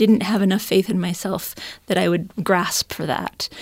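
A woman with an ordinary speaking voice talks at a moderate pace in an American accent, her medium pitch paired with fairly even intonation. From upstate New York. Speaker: writer and teacher. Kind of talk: casual chat.

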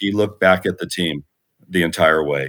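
Speaking at a moderate pace, a man talks with an American accent. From West Los Angeles, US. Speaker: former high school principal. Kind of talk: interview.

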